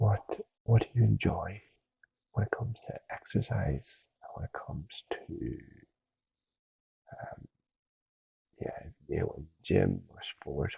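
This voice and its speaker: A man whispers in a gentle tone. He goes at a very slow pace, with long, frequent pauses. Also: big swings in loudness. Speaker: ASMR creator playing a personal trainer. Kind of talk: ASMR roleplay talk to a listener. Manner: soft-spoken, gentle, with frequent filler words.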